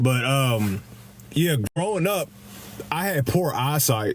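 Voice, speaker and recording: A man with a strong Kentucky accent talks with lively intonation. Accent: thick Kentucky. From Kentucky, Louisville. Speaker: live streamer. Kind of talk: casual chat. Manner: halting, many repeats and fillers; casual, profane.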